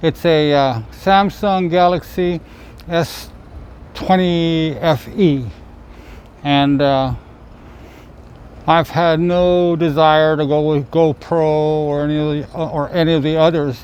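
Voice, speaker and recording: With long, frequent pauses, a man speaks at a very slow pace. His pitch is fairly high and his intonation fairly even. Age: 60s. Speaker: vlogger, trike rider. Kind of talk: casual vlog monologue. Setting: outdoors, selfie-stick camera. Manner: halting, many fillers and repeats.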